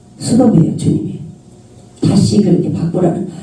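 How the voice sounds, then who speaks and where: The speaker has a strong Jeolla accent and an animated tone. Noticeable background noise sits behind the voice. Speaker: preacher, author. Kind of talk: sermon.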